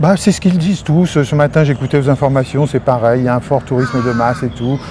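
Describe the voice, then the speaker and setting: Very fast speech from a man, with ordinary pitch variation and noticeable background noise. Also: medium pitch for a man. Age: 60s. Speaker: retired expatriate. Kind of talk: interview. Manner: halting.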